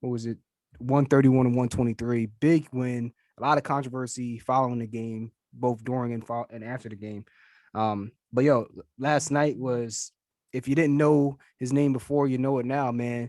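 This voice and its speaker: In a monotone, flat intonation, a man speaks at a moderate pace, the sound dry and close with no echo. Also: medium pitch for a man. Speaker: sports podcast host. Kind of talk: casual sports chat.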